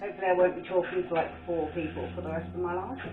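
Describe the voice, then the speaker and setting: Speaking at a fairly quick pace with a Birmingham accent, a woman is heard with audible room echo and noticeable background noise. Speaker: art painter and video creator. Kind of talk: casual chat while painting. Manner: rambling, chatty.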